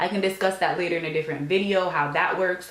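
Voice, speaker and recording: A woman talks amid noticeable background noise and audible echo from the room. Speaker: law school applicant and vlogger. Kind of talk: advice vlog. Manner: frequent filler ums.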